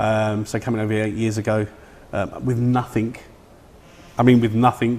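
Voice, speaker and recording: A man with an East London accent talks at a very fast pace. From East London (Bethnal Green). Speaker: film production director. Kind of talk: interview.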